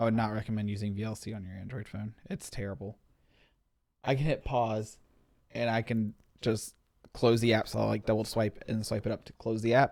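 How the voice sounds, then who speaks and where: A man with a fairly low voice mumbles at a fairly quick pace, with long, frequent pauses. His loudness swings widely while his intonation stays fairly even. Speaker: tech show co-host. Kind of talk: casual chat. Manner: fast; mumbling.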